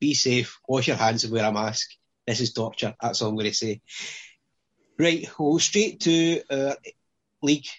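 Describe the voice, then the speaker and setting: Speaking with a Scottish accent, a man keeps a moderate pace broken by long, frequent pauses. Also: medium pitch for a man, ordinary pitch variation. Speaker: fantasy football podcast host. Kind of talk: casual chat.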